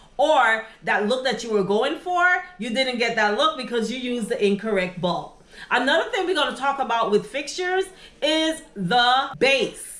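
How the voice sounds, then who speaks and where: Noticeable background noise surrounds this recording. A woman speaks with a high pitch. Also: lively intonation, moderate pace. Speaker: interior design YouTuber. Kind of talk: tutorial. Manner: casual, conversational with fillers.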